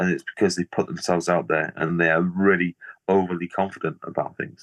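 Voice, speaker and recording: A man with a very deep, low pitch and a northern English accent, fairly quick and flat in intonation, over a quiet background with a dry, close sound and no echo. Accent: Liverpool-tinged northern English. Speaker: artist. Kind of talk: casual interview chat. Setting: video call.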